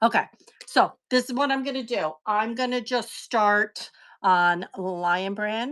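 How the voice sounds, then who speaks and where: A woman's fairly high voice at a very slow pace with ordinary pitch variation. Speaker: live online seller. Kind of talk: live sales stream. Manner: loud.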